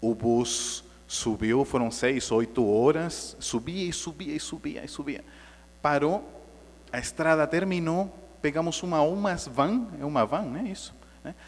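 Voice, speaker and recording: Speaking with a non-native accent, a man talks at a fairly slow pace. His pitch is fairly high and his intonation lively. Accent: foreign accent in Portuguese. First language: Spanish (speaking Portuguese). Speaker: spiritist lecturer. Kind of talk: lecture. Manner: conversational, engaging audience.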